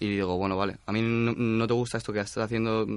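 A man's fairly low voice at a very fast pace with fairly even intonation. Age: young. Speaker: student. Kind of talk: interview.

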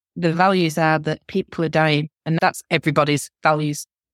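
With a northern English accent, a woman speaks at a very deep, low pitch with fairly even intonation, in a dry, close sound with no echo. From northern England. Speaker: law academic and human rights advocate. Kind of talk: interview.

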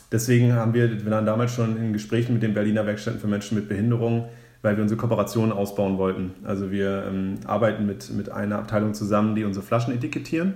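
The voice has a dark, mellow tone and fairly even intonation, moving at a very fast pace with hardly any pauses amid audible room echo. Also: man, fairly low pitch for a man. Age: 20s. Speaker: founder of a drinks start-up. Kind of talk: podcast interview. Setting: in person, sitting opposite the host.

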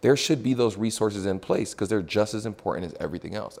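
In an unremarkable speaking voice, a man with an American accent talks at a medium pitch with ordinary pitch variation. The recording is very clean, with a silent background. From Texas, Houston. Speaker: athlete rep, former NFL player. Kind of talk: casual interview.

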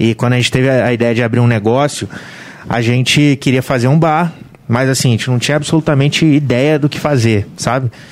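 A man's unremarkable speaking voice at medium pitch, fairly quick in pace, with fairly even intonation and very even loudness. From Volta Redonda, Rio de Janeiro state, Brazil. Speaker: bar and restaurant owner. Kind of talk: casual chat.

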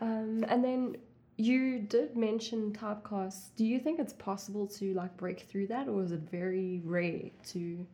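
A woman's somewhat breathy voice at medium pitch, fairly slow in pace, with ordinary pitch variation. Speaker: interviewer, young actress. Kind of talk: casual interview chat.

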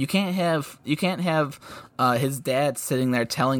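In a very clean recording with a silent background, a man with a plain, everyday voice talks at a moderate pace with lively intonation. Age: 20s. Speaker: hockey podcast co-host. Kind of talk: casual chat.

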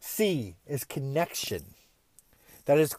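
A man speaks at a fairly high pitch with lively intonation. The recording is very clean with a silent background and a dry, close sound with no echo. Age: 30s. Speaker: podcast host, motivational speaker. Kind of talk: motivational monologue.

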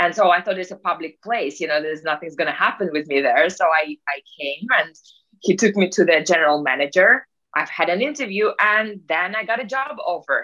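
Quick-paced and bright, with a sharp tone and lively intonation, a woman speaks with a Russian accent. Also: medium pitch for a woman. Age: 30s. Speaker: peak performance coach. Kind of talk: casual interview.

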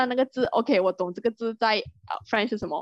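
Over a quiet background, a woman with a fairly high pitch and lively intonation comes through in a dry, close sound with no echo. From Malaysia. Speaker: podcast co-host. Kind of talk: casual chat.

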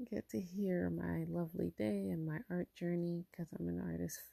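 Quiet and at a fairly slow pace, a woman speaks. The sound is dry and close, with no echo. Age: 30s. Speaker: podcast host and artist. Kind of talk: solo monologue podcast. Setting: at home. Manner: quiet, low voice; casual, many fillers.

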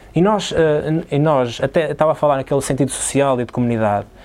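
A man's voice with a dark, mellow tone. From Portugal, São João da Madeira. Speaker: basketball player. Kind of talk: casual chat. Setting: sports hall.

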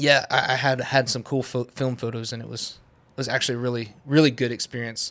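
A man's fairly quick, monotone, flat delivery with big swings in loudness, on a very clean recording with a silent background. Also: medium pitch for a man. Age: 20s. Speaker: photographer and videographer. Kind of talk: casual chat.

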